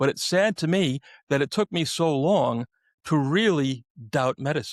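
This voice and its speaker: A man with a New York accent speaks with lively intonation and a fairly high pitch, keeping his loudness very even. The recording is very clean and dry, with a close sound, no echo and a silent background. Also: moderate pace. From New York City. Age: 60s. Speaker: podcast host. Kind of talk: casual interview chat.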